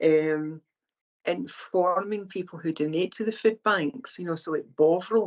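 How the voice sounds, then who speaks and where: A woman speaks in a Scottish accent. Her pitch is fairly low, with ordinary variation. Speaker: charity founder, former mental health nurse. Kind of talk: podcast interview. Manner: conversational, with hesitations.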